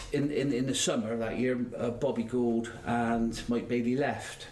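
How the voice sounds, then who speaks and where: A man's medium-pitched voice with fairly even intonation, noticeable background noise and audible room echo. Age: 60s. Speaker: retired footballer. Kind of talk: casual interview. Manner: halting.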